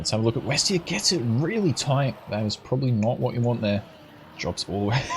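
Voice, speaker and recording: A man talks at a fairly quick pace with lively intonation and a medium pitch. Noticeable background noise is present. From Australia, Brisbane. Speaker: esports caster and streamer. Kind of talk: live commentary. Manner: animated.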